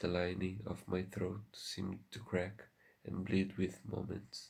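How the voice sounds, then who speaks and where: A soft-spoken man talks at a very slow pace in a very deep, low pitch. His voice is somewhat breathy and his intonation monotone and flat. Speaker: ASMR content creator. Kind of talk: ASMR soft-spoken story reading.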